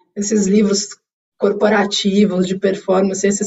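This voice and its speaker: This woman's voice is somewhat breathy, medium in pitch, and fairly slow in pace. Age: 40s. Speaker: corporate executive. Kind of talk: interview. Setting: video call.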